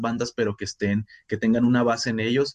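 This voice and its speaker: A man talks at a moderate pace and a medium pitch, with fairly even intonation, in an unremarkable speaking voice. The sound is dry and close, with no echo. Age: 30s. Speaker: writer, musician and teacher. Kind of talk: casual chat.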